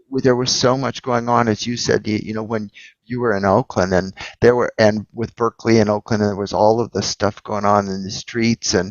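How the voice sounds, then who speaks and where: A man talks at a fairly quick pace in a fairly low pitch. His intonation is monotone and flat. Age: 60s. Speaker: entrepreneur and investor. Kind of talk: casual chat.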